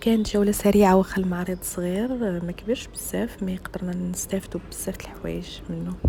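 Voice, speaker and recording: A woman talks at a fairly quick pace with hardly any pauses, over noticeable background noise. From Morocco. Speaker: family vlogger. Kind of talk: casual vlog narration. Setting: exhibition, then restaurant.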